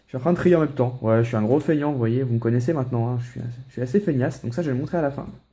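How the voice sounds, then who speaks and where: Hardly any pauses break this man's very fast speech. His pitch moves in an ordinary way. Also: medium pitch for a man. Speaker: Pokémon card collector YouTuber. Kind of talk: casual unboxing vlog. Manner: casual, hesitant with many fillers.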